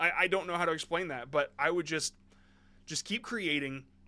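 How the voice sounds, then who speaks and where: The recording is very clean with a silent background. A man speaks with a fairly high pitch and a bright, sharp tone. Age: 30s. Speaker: YouTube Shorts coach reviewing submissions. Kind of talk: live stream review of viewer submissions. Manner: casual, repetitive with frequent restarts.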